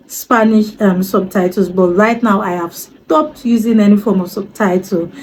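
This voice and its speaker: In a Yoruba accent, the voice moves at a moderate pace, somewhat breathy, with a dark, mellow tone and fairly even intonation. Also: woman. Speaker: language learner vlogger. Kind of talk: casual vlog talk. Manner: hesitant, many fillers.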